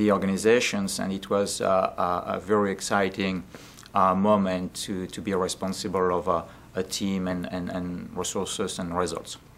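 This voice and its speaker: With a French accent, the speaker keeps a moderate pace and a monotone, flat intonation. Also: man, very deep, low pitch for a man. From France. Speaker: business development consultant. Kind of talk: interview. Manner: halting, many fillers.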